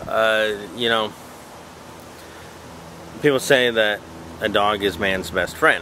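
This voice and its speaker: A man talks at a very slow pace in a fairly low pitch with ordinary pitch variation. His long, frequent pauses come over noticeable background noise. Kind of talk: casual talk to camera. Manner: hesitant, stuttering, many filler sounds.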